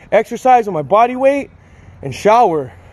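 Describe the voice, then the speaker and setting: At a moderate pace, a man talks with an extremely high pitch. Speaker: fitness vlogger. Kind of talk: casual vlog chat. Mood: cheerful, laughing, candid. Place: street. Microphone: phone near.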